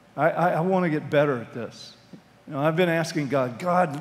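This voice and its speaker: Lively intonation marks this man's speech. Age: 60s. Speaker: pastor. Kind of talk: sermon. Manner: halting. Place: hall. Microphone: headset.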